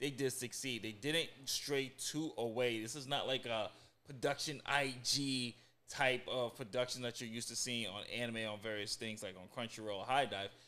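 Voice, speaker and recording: The pace is moderate. A man speaks with fairly even intonation. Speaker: podcast co-host. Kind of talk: casual review commentary. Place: studio. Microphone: studio mic.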